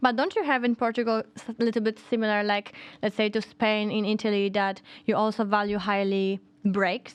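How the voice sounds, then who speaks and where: In a Polish accent, a woman with a fairly high pitch talks at a fairly quick pace in a monotone, flat intonation. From Poland. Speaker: podcast co-host. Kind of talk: casual chat.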